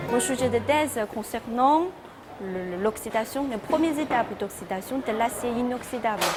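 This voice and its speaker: Over music in the background, a woman with a Chinese accent talks at a moderate pace in a high pitch with ordinary pitch variation. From China. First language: Chinese (speaking French). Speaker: postdoctoral researcher. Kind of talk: interview answers. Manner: halting, self-correcting.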